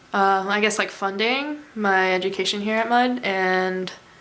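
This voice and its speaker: In a room with audible echo, a woman with a bright, sharp tone speaks at a fairly slow pace with ordinary pitch variation. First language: Mandarin Chinese. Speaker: college student. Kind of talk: interview.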